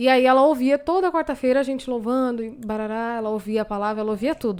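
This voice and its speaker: Recorded very cleanly with a silent background, a woman uses a normal speaking voice at a moderate pace with ordinary pitch variation. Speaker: gospel singer. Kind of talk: casual chat.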